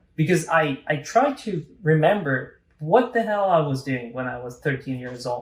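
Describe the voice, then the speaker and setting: At a fairly slow pace, a man with a fairly high pitch speaks with lively intonation in a somewhat breathy voice. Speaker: podcast host. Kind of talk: casual conversation.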